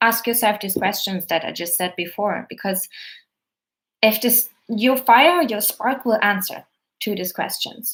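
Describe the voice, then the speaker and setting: Fairly high-pitched, a woman speaks in a German accent with ordinary pitch variation. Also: fairly slow pace. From Germany. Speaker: actor and coach. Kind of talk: live stream Q&A. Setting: live stream video.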